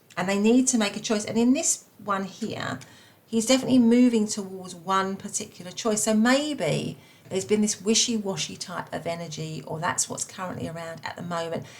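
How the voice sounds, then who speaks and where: A woman speaks in a Cockney accent at a moderate pace. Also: medium pitch for a woman, ordinary pitch variation. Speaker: tarot reader. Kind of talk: tarot reading. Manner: halting, many fillers.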